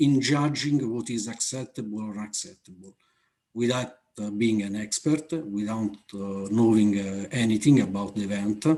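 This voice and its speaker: Speaking in an Italian accent, a man has a dark, mellow tone. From Italy. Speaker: aviation safety manager. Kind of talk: conference Q&A answer. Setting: online conference. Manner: halting, many fillers.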